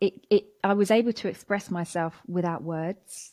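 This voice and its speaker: With a southern English accent, a woman of medium pitch talks at a moderate pace with fairly even intonation against a quiet background. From southern England, Watford, Hertfordshire; southern England. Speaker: anti-racism educator and speaker; anti-racism educator, speaker. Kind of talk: interview conversation; interview answer. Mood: reflective, warm. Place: home room. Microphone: studio mic.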